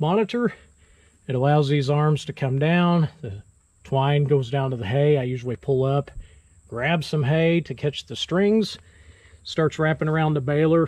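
A man speaks at a moderate pace, his voice somewhat breathy with ordinary pitch variation. The background is quiet and the sound is dry, with no echo. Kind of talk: tutorial. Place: farm machine. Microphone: phone near.

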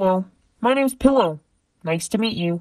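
Putting on a character voice, a woman talks at a fairly quick pace in a medium pitch. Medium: solo performance.

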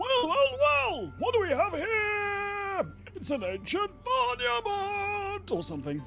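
A put-on character voice at an extremely high pitch moves at a fairly slow pace over clear background music.

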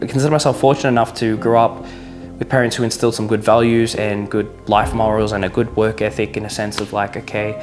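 A man at a fairly quick pace with ordinary pitch variation, and clear music in the background. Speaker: vlogger. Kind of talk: casual vlog chat. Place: kitchen. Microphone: lapel.

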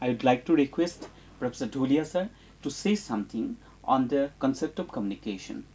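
The speaker talks at a fairly quick pace with an Indian accent. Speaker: university educator, programme presenter. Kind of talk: educational programme hosting. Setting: studio. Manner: formal.

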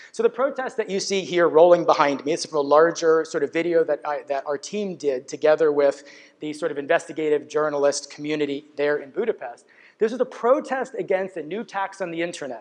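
A man's intonation is lively, and the background is quiet. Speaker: conference speaker. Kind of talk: lecture. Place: stage.

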